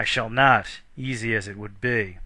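Bright and sharp in tone, a man's medium-pitched voice moves at a very slow pace on a very clean recording with a silent background. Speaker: audiobook narrator. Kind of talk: reading aloud an epic poem, scripted narration. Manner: measured, formal, steady storyteller's cadence.

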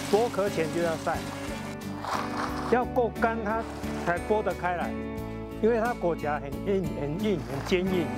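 Loud music plays in the background, though the sound is dry with no echo. A man speaks at a fairly slow pace with long, frequent pauses. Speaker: retired farm helper. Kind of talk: interview answer.

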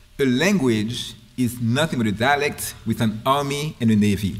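The speaker has a Haitian accent and ordinary pitch variation. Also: man. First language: Haitian Creole. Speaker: linguistics professor. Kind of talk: lecture. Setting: stage with audience. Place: hall. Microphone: podium.

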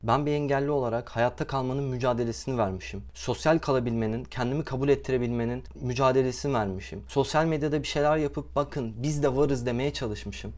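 The speaker is a man. His delivery is fairly quick. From Turkey. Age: 20s. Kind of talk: video monologue. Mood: upset, indignant, pleading. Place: home room. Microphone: lapel.

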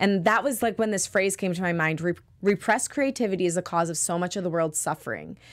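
A woman with an American accent talks very fast in an animated tone at a medium pitch with ordinary pitch variation. The background is quiet. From US Midwest. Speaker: singer-songwriter and podcast producer; podcast producer. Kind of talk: interview. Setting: studio. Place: studio. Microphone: studio mic.

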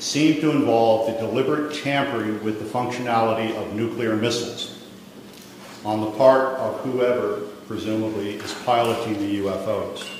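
Over light background noise and strong room echo, a man speaks at a moderate pace with fairly even intonation. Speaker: press conference host. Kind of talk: prepared statement. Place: hall. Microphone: podium.

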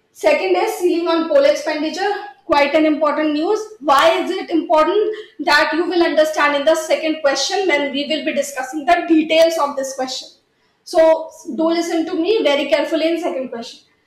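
A woman with an extremely high pitch speaks at a fairly quick pace with fairly even intonation, and room echo is audible. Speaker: exam prep teacher. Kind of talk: lecture. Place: studio.

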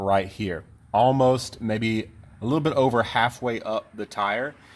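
This man's intonation stays fairly even. His pace is moderate. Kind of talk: tutorial. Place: garden. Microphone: phone near.

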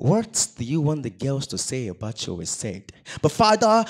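A man speaks in a dramatic tone. Music plays in the background. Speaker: spoken word poet. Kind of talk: solemn spoken word performance, confessional poem on male depression. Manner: dramatic, pleading, heavily rhythmic delivery; emotive with vocal sound effects. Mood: emotional, pleading. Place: stage. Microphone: handheld.

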